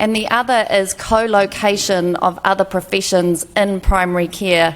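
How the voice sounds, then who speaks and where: The speaker uses fairly even intonation with a New Zealand accent. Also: woman, medium pitch for a woman. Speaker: health policy expert, former fellow. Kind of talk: panel presentation. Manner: slow; hesitant, with fillers.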